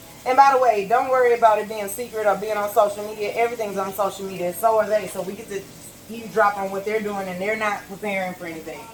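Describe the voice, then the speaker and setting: Noticeable background noise surrounds a woman talking at a very fast pace. Her intonation stays fairly even while her loudness swings widely. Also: medium pitch for a woman. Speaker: vlogger. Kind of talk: casual monologue while cooking. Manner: talkative.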